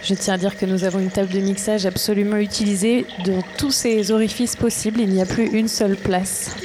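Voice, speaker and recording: Woman at a medium pitch and a fairly quick pace, fairly even intonation, very even loudness, noticeable background noise. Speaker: radio host. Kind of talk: live radio hosting, improvised.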